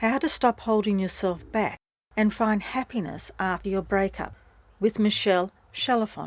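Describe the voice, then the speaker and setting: On a very clean recording with a silent background, a woman with an Australian accent speaks at a medium pitch and moderate pace, with ordinary pitch variation. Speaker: podcast host, breakup recovery mentor. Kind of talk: podcast outro.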